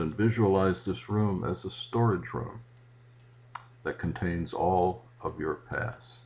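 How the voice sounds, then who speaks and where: The voice has a gentle tone and moves at a very slow pace with ordinary pitch variation. Noticeable background noise runs underneath. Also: man. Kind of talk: guided meditation, calm spiritual instruction with invitations to breathe and visualize. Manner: slow, deliberate, soothing, with pauses; gentle, reverent, prayer-like.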